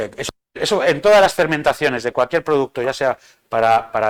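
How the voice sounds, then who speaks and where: The recording is very clean with a silent background and a dry, close sound without echo, as a man at medium pitch talks at a fairly quick pace. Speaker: bartender giving a training talk. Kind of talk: lecture. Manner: fast.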